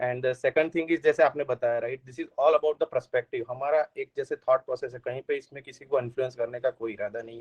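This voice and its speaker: A man with a slight Gujarati accent speaks with hardly any pauses and big swings in loudness. The sound is dry and close, with no echo. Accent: Gujarati-tinged Hindi, slight. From Gujarat, India (Ahmedabad). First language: Gujarati (speaking Hindi). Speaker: software engineer, returned emigrant. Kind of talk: podcast interview. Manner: hesitant, many fillers.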